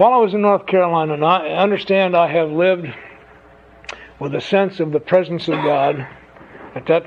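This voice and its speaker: A man's high-pitched voice at a moderate pace, with ordinary pitch variation, long, frequent pauses and noticeable background noise. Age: 70s. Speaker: AA speaker sharing recovery story. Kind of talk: speaker testimony to an audience. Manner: conversational storytelling with humor.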